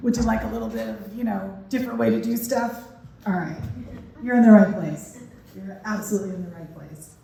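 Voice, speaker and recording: Speaking at a fairly quick pace, a woman with a medium pitch and fairly even intonation swings widely in loudness, with audible room echo and noticeable background noise. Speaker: parenting educator and keynote speaker. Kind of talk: keynote speech. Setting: stage with audience. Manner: conversational, uses fillers.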